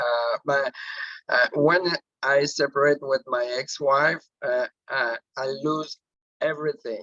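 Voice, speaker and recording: Speaking at a very slow pace, a man talks with a Quebec accent. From Quebec, Canada (Drummondville). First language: French. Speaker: network marketing director. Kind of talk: personal testimony on a team call. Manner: halting, many fillers.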